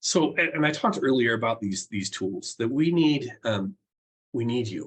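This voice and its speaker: A man with a medium-pitched, somewhat breathy voice talks at a moderate pace with lively intonation. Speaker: professor and keynote speaker. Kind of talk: keynote speech.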